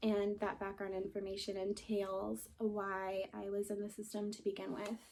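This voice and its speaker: A shaky woman's voice at a medium pitch, moderate in pace, with monotone, flat intonation. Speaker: vlogger sharing personal story. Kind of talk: personal testimony. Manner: shaky voice; halting, with pauses and fillers.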